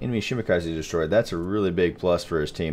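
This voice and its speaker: A man with a Texas accent speaks at a very deep, low pitch with ordinary pitch variation. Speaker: gaming commentator. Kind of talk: live gameplay commentary. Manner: casual, hesitant with fillers.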